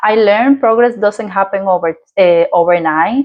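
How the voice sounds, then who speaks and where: A woman with a Dominican accent talks at a fairly slow pace in a medium pitch, her intonation lively. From Dominican Republic. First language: Spanish. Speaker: lifestyle vlogger. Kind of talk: personal story vlog. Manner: halting, with fillers.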